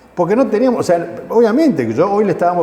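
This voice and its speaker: Amid noticeable background noise and audible room echo, a man talks at a very fast pace. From Argentina, Mendoza. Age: 60s. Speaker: war veteran. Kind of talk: testimony interview. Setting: veterans' center.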